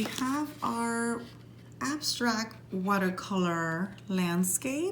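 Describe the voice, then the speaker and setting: A woman speaks with lively intonation and a somewhat breathy voice. Audible room echo surrounds her. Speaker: art teacher. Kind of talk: tutorial.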